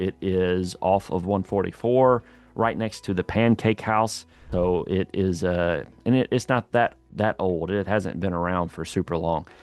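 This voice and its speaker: Speech comes at a fairly slow pace with a slight Southern accent. Pitch varies in an ordinary way. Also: man. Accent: slight southern drawl. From Louisiana. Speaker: real estate agent / local guide vlogger. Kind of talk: casual video tour. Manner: casual, hesitant with fillers.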